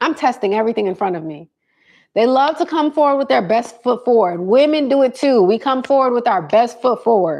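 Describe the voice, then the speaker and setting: Animated and fairly quick, a woman speaks in a high pitch with lively intonation. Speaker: live streamer giving dating advice. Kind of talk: casual livestream chat. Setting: live stream on phone cameras.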